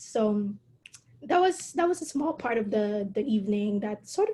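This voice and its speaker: A woman speaks at a moderate pace with a Filipino accent, her pitch fairly high. Her tone is dark and mellow and somewhat breathy. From Philippines. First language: Tagalog. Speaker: calligrapher and entrepreneur. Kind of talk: interview conversation. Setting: online video call.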